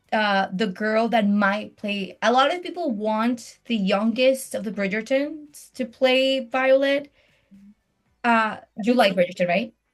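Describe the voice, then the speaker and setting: A woman's fairly high voice at a fairly slow pace, with music in the background. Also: ordinary pitch variation. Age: 30s. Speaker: podcast host. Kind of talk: casual chat. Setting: video call. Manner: animated.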